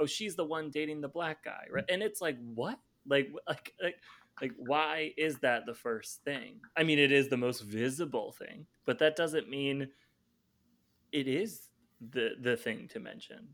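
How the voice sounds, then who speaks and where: Speaking at a fairly slow pace, a man with a normal speaking voice and a fairly high pitch uses lively intonation. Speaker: podcast host. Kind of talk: casual chat.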